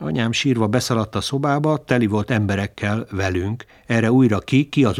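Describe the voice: Someone reads aloud plainly. Pitch shifts by an ordinary amount.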